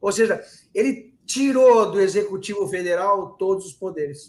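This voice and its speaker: His voice is pitched high. The speaker is a man. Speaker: political commentator. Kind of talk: live stream discussion. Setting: live stream.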